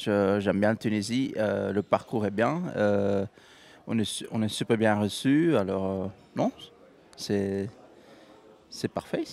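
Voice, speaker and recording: With a Belgian accent, a man talks at a very slow pace with long, frequent pauses, at fairly low pitch with ordinary pitch variation. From Belgium. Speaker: professional golfer. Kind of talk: interview. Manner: halting, many fillers.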